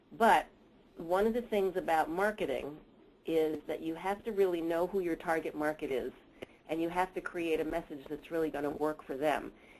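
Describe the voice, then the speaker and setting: A woman with an American accent has a normal speaking voice. Her pitch is fairly low, with ordinary variation, and her pace is moderate. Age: 60s. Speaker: researcher and mentoring expert. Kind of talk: webinar presentation.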